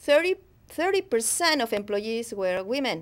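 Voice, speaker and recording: A woman speaks with a strong Spanish accent. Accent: thick Spanish. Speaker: professor. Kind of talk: academic lecture. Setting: studio. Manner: hesitant, unscripted.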